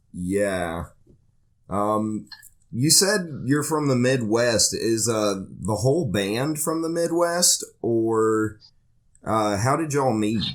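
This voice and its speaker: A very slow, medium-pitched male voice with lively intonation and a slight Southern US accent, on a very clean recording with a silent background. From northeast Georgia, US South. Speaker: podcast host. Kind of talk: casual podcast interview.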